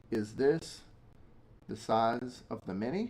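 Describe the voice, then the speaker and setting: An animated tone comes through in an American accent with ordinary pitch variation. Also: man. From South Africa, then Boston from age seven. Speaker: everyday-carry collector and streamer. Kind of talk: casual livestream chat.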